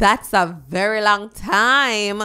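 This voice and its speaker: At a very slow pace, a woman with a Jamaican accent speaks in a bright, sharp tone. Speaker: dancehall news vlogger. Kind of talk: entertainment news commentary.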